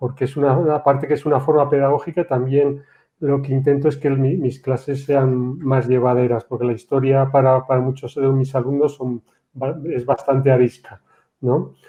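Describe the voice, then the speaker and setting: Speaking at a moderate pace, a man with a fairly high pitch keeps his intonation fairly even. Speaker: history teacher. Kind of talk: panel discussion. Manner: halting, many repetitions.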